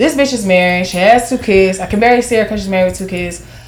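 Noticeable background noise sits behind a woman with an American accent. Her tone is animated, her pitch medium, with ordinary pitch variation. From Jacksonville, Florida. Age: 20s. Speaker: dancer and real estate agent. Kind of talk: casual chat. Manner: loud, animated.

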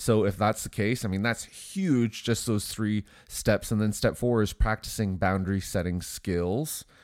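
The speech moves at a fairly slow pace with ordinary pitch variation. The voice is nasal with a slightly mellow tone. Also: man, fairly low pitch for a man, very clean recording, silent background.

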